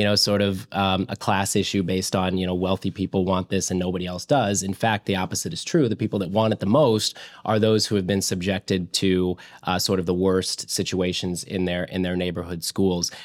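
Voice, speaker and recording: A man talks with a very deep, low pitch and fairly even intonation at a fairly quick pace. It is a very clean recording with a silent background. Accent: US Midwestern. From central Illinois (Springfield). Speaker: school choice policy advocate. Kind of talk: interview. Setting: studio with camera. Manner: hesitant, many fillers and repeated words.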